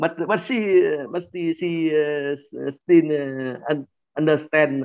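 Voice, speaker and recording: A man speaks with a Vietnamese accent at a fairly high pitch. His pace is very slow. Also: ordinary pitch variation. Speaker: workshop participant. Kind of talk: sharing in group discussion. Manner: halting, many hesitations.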